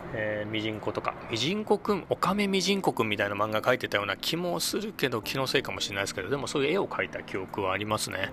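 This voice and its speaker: Amid noticeable background noise, a man at a medium pitch rushes along very fast with hardly any pauses and very wide pitch swings. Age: 50s. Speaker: podcast host. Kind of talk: casual monologue. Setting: outdoors under a bridge. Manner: many fillers. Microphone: echoey space.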